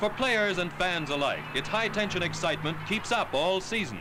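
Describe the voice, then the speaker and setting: Over background music, a man with a high voice talks at a moderate pace in an upbeat tone with very wide pitch swings. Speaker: newsreel narrator. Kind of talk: newsreel narration.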